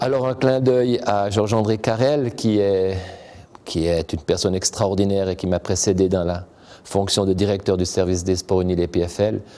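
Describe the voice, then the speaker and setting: Using a plain, everyday voice, a man speaks at a moderate pace with a fairly low pitch and ordinary pitch variation. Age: 50s. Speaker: university sports director. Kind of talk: interview monologue.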